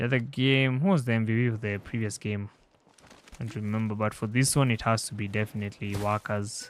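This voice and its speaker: A man with a non-native accent talks at a fairly quick pace and medium pitch. His intonation stays fairly even over noticeable background noise. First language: not English. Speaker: esports commentator. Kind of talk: live commentary.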